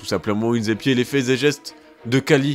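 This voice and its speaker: Music behind a man's mid-range voice with typical pitch movement. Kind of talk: casual humorous history narration to camera. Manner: playful, joking.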